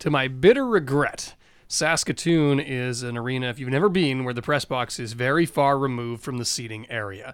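An unremarkable speaking voice, from a man with medium pitch, a fairly quick pace and ordinary pitch variation. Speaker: team radio broadcaster, co-host. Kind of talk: casual podcast chat.

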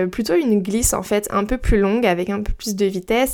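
An unremarkable speaking voice from a woman, medium in pitch, fairly even in intonation. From Brittany, France. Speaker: podcast host. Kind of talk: solo casual podcast monologue. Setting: home recording at her mic.

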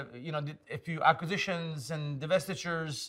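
With a Turkish accent, a man talks at a moderate pace in a fairly high pitch and fairly even intonation. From Istanbul, Turkey. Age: 50s. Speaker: tech executive. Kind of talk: casual interview. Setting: in person studio.

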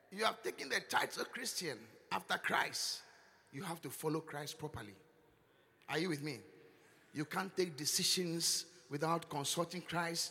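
With a Ghanaian accent and a high pitch, a man speaks at a moderate pace with ordinary pitch variation and long, frequent pauses over noticeable background noise. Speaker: bishop preacher. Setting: church service with live congregation. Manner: teasing, chiding the congregation with laughter and repeated words; emphatic and repetitive, rising into loud intercessory prayer.

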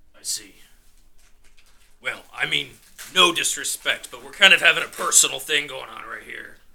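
In a put-on character voice, a man talks at a moderate pace, breaking it with long, frequent pauses. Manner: calm, menacing, contemptuous.

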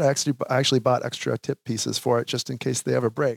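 Vocal fry runs through this voice with an American accent, recorded dry and close with no echo. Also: man. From Minnesota (Sauk Rapids). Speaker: professional drummer. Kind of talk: casual interview. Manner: halting, many fillers.

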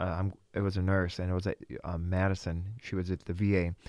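A man with a very deep, low pitch at a fairly quick pace, in a dry, close sound with no echo and a very clean recording with a silent background. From Russia, then Wisconsin. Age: young. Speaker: Bible school student. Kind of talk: interview.

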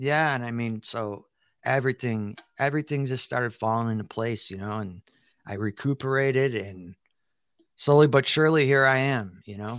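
A man with a Chicago accent, medium pitch and ordinary pitch variation, on a very clean recording with a silent background. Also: moderate pace. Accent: Chicago American. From Chicago, South Side. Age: 40s. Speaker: military veteran and podcaster. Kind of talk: casual interview.

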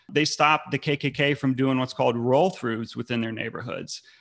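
Against a silent background in a very clean recording, a man with an American accent talks at a fairly quick pace in an ordinary speaking voice, medium in pitch with ordinary pitch variation. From North Carolina. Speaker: anti-fascist community organizer. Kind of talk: podcast interview.

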